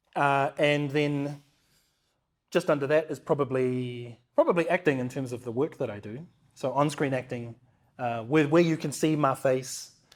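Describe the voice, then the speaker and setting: Fairly high-pitched, a man speaks with a New Zealand accent and fairly even intonation. The recording is very clean, with a silent background. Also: moderate pace. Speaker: motion capture performer and actor. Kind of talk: interview conversation. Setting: studio, in person.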